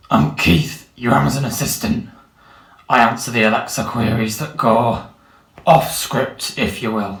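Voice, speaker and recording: Using a put-on character voice, a man speaks raspily at a medium pitch and moderate pace with lively intonation, and there is audible echo. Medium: stage play. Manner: casual, matey.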